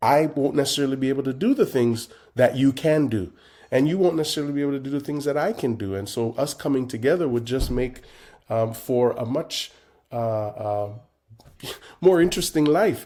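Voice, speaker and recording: On a very clean recording with a silent background, a man with a fairly high pitch and a dark, mellow tone speaks with ordinary pitch variation. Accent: Jamaican Canadian. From Jamaica. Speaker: composer and conductor. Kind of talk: interview. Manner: hesitant, many fillers.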